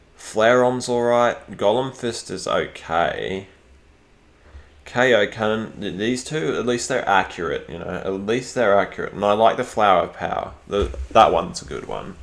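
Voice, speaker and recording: Here a man talks at a moderate pace in a medium pitch with an Australian accent. His voice shows vocal fry and ordinary pitch variation. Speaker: gaming streamer. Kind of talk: casual live stream commentary. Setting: live stream. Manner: hesitant, many fillers and repeats.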